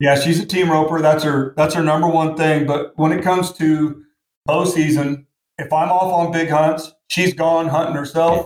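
A man with an American accent speaks at a moderate pace in a fairly high voice, his intonation flat and monotone. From Portland, Oregon. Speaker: bowhunter and farmer. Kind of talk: casual interview.

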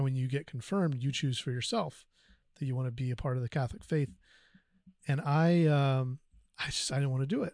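A somewhat breathy man talks at a fairly quick pace with ordinary pitch variation over a quiet background. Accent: American. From US South, North Carolina. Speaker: podcast guest. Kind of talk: personal testimony. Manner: halting, many fillers.

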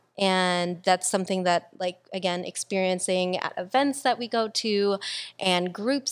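A woman with a plain, everyday voice at medium pitch, on a very clean recording with a silent background. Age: 20s. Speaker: podcast host. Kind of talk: casual chat.

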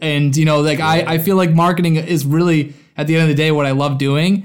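This voice carries a Boston accent. It moves at a fairly quick pace. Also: man. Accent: Boston American. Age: 20s. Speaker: content creator and gluten-free advocate. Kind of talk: casual interview.

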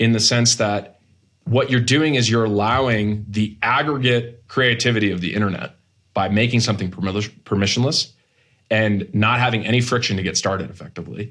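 In a very clean recording with a silent background, a man with an American accent uses a normal speaking voice, speaking at a moderate pace with medium pitch and ordinary pitch variation. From US Northeast, Massachusetts. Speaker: tech startup co-founder. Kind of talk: interview.

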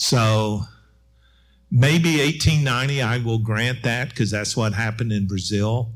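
Speaking at a very slow pace with an American accent, a man uses a medium pitch and ordinary pitch variation, and audible room echo surrounds him. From Middle Tennessee, US South (Murfreesboro). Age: 60s. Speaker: historian and professor. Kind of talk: panel discussion.

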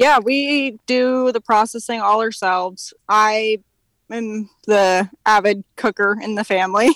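A woman with an American accent speaks at a very slow pace, her pitch fairly high and her intonation fairly even. The sound is dry and close, with no echo. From California. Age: 20s. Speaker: hunter. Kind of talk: casual chat. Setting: outdoors.

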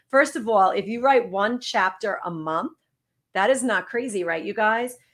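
Captured on a very clean recording with a silent background, a woman speaks with a New York accent. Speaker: wellness coach. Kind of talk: interview.

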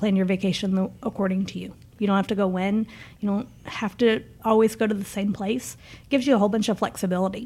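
Somewhat breathy, a woman talks at a fairly quick pace in a medium pitch. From Niagara Falls area Canada, then Memphis. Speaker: marketing director. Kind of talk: casual interview, promo talk.

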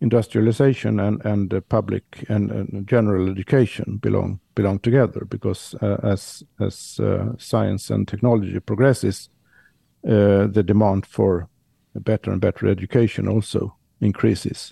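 A man with a Swedish accent, a fairly low pitch, a dark, mellow tone and vocal fry, at a moderate pace with fairly even intonation, in a dry, close sound with no echo and a quiet background. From Sweden. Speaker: historian of science. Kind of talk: casual chat. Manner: halting.

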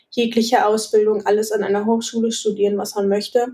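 A woman with an ordinary speaking voice talks at a fairly quick pace in a fairly high pitch. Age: 20s. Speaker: architecture student. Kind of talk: casual interview.

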